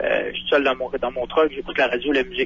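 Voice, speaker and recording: A man talks at a very fast pace. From Quebec. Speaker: truck driver. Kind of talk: radio interview.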